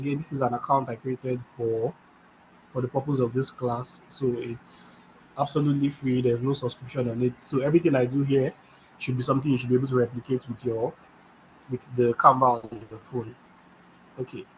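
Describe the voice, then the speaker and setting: A somewhat breathy, medium-pitched man's voice at a fairly quick pace, monotone and flat, broken by long, frequent pauses. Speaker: design instructor. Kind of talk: tutorial.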